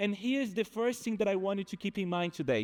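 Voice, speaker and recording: The speaker has a Brazilian accent and ordinary pitch variation, in a very clean recording with a silent background. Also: man. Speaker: behavioral economist. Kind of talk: conference talk.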